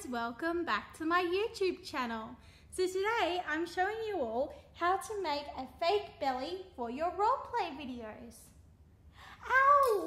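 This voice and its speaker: A woman speaks fairly slowly in a raised, projected voice, with audible room echo. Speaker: vlogger. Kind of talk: casual vlog chat and roleplay acting. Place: home room. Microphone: phone near.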